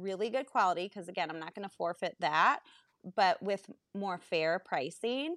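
A woman's normal speaking voice at medium pitch, with lively intonation, a dry, close sound with no echo and a quiet background. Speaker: entrepreneur and working mom. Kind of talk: casual chat.

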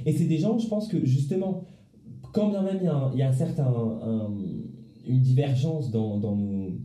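A man speaks at a moderate pace in a fairly high voice, his pitch swinging very widely. Long pauses come often, and there is noticeable background noise along with audible room echo. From Paris, France. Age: 20s. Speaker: law student. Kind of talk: casual chat. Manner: halting, many repetitions. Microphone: too far from the mic.

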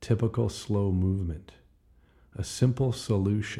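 Somewhat breathy, a man speaks at a fairly slow pace with a fairly low pitch and a dark, mellow tone. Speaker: podcast host reading own poems. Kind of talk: spoken-word poetry reading of own old rhyming verse. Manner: rhythmic, clipped short rhyming phrases delivered as verse; relaxed, folksy, with frequent uh fillers.

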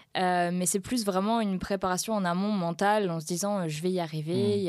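At a moderate pace, a woman talks in a plain, everyday voice at a medium pitch with ordinary pitch variation, in a very clean recording with a silent background. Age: 20s. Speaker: professional guitarist. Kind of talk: casual interview.

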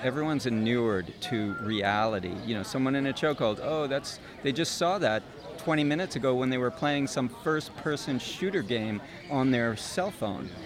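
Noticeable background noise sits behind a man speaking at a moderate pace. His intonation is lively and his loudness very even. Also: medium pitch for a man. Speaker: nonprofit founder. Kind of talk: interview. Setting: outdoors.

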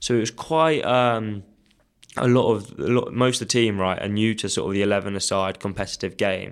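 The speaker has a southern English accent and ordinary pitch variation. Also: man, fairly low pitch for a man, fairly quick pace. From Kent, southeast England. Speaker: hockey development officer. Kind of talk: interview. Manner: hesitant, many fillers.

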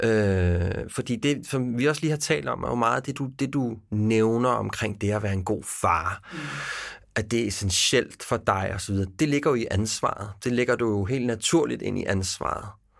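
A man with an ordinary speaking voice talks at a fairly slow pace and a medium pitch with ordinary pitch variation, on a very clean recording with a silent background. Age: 40s. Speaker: podcast host. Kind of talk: interview conversation.

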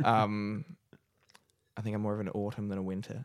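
A man talks in an Australian accent. The recording is very clean, with a silent background. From Australia, Newcastle NSW. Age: 20s. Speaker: comedian. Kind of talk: casual chat.

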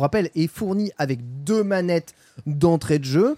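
The man's voice sounds dry and close with no echo as he talks at a moderate pace. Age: 30s. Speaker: gaming podcast host. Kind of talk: casual chat.

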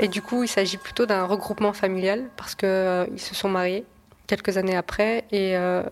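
This woman talks at a moderate pace with a medium pitch and a flat, monotone delivery. Background noise is noticeable behind her. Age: 20s. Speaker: journalist. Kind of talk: podcast interview.

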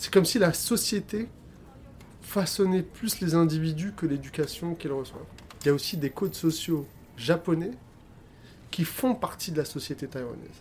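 A man with a high-pitched voice talks at a moderate pace, with ordinary pitch variation. He leaves long pauses often. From France, Algerian heritage. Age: 30s. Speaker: filmmaker. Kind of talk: interview.

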